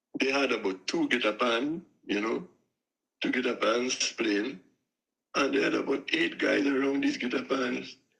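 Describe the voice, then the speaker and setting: With a Trinidadian accent, a man talks at very even loudness, leaving long, frequent pauses. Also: moderate pace. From Trinidad and Tobago. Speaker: steelpan musician and tuner. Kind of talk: interview. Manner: halting.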